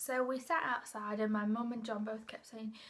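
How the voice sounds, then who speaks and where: Speaking at a fairly quick pace, a woman with an English accent has a fairly high pitch. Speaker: vlogger. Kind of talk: personal storytelling. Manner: fast; casual, rambling.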